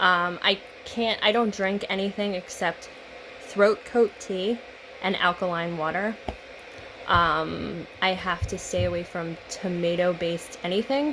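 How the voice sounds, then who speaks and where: Amid noticeable background noise, a woman speaks at medium pitch. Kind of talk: casual talk to camera.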